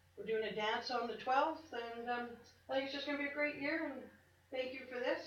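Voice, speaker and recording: A woman talks at a fairly quick pace at a high pitch with fairly even intonation, with audible room echo and noticeable background noise. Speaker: charity volunteer organizer. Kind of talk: public address at council meeting. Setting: council chamber. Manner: loud.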